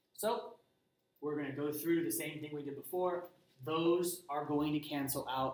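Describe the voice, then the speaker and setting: This man has a plain, everyday voice, pitched fairly high. His pitch varies an ordinary amount. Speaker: high school physics teacher. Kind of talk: lecture.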